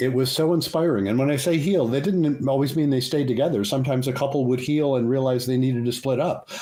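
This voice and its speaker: With hardly any pauses, a man talks at a very fast pace at medium pitch, in a dark, mellow tone with very even loudness and ordinary pitch variation. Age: 70s. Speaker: psychologist and couples therapist. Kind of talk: interview.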